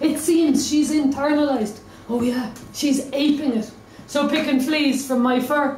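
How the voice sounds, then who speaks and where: With noticeable background noise behind her, a woman with a high pitch talks at a fairly slow pace in fairly even intonation. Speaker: slam poet. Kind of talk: slam poetry performance.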